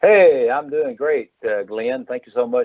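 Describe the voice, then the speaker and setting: A man with a Mississippi accent talks at a fairly quick pace. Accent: Southern US (Mississippi). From North Mississippi. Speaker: pharmacist. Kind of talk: interview. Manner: hesitant, many filler uhs.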